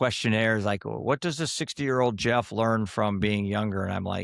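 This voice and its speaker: A man talks at a moderate pace in a normal speaking voice. His medium pitch varies in an ordinary way. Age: 60s. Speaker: mental health app founder. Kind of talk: podcast interview.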